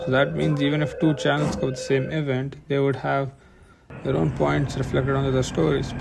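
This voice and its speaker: At a fairly quick pace, a man keeps his loudness very even over noticeable background noise. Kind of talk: video essay narration. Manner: casual, conversational; slight stutter.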